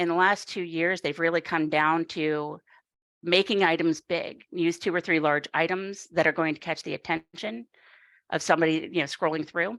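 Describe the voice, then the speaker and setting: A woman's ordinary speaking voice, fairly low in pitch, with fairly even intonation at a moderate pace, dry and close with no echo, in a very clean recording with a silent background. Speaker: YouTube coaching instructor. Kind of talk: workshop lecture.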